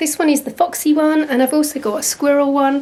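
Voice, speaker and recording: There is noticeable background noise. A woman speaks in an English accent. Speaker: artist and channel host. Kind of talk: casual vlog chat.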